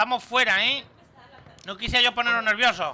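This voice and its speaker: A man speaks in a raised, projected voice. Light background noise can be heard. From Spain. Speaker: gaming streamer. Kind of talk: live gameplay commentary. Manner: animated. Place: home room.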